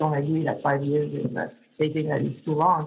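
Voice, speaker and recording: At a moderate pace, a woman speaks with a very deep, low pitch and a somewhat breathy quality. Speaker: public oversight official. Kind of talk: conference talk. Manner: halting, many fillers.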